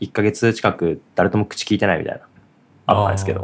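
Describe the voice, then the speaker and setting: A man talks at a very fast pace. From Japan, Aichi. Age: 20s. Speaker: podcast co-host and web engineer. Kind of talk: casual chat.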